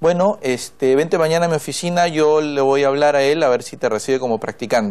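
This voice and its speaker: A man's fairly high voice at a very fast pace, with ordinary pitch variation. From northern Peru. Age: 30s. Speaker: congressman; politician guest. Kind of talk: TV interview. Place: studio. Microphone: lapel.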